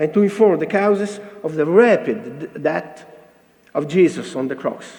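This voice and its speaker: With an Italian accent and lively intonation, a man speaks at a moderate pace over noticeable background noise and audible room echo. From Italy. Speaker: cardiologist presenting at a conference. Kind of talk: conference lecture read from paper. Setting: conference stage with audience. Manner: halting, hesitant non-native English.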